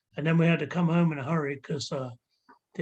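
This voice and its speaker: A man's somewhat breathy, fairly high-pitched voice with an English accent, fairly even intonation and a very fast pace. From England, army childhood abroad. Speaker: ska musician. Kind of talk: casual chat.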